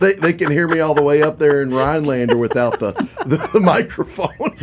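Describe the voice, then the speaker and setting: Noticeable background noise sits under this recording. A man with a fairly high voice talks at a fairly quick pace. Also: ordinary pitch variation. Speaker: radio show cohost. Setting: radio studio. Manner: loud; loud, carries far.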